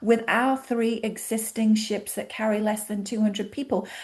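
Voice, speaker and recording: An animated woman's voice, fairly high in pitch, with a British accent. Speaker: cruise line representative. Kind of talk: interview.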